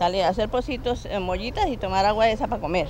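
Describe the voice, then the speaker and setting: Very fast female speech set against noticeable background noise. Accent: Cundinamarca. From Cundinamarca, Colombia, rural. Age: 60s. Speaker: rural resident. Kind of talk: documentary interview testimony.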